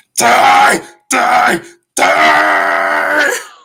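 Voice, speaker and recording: A growling, low-pitched put-on character voice. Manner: dramatic, bitter, snarling.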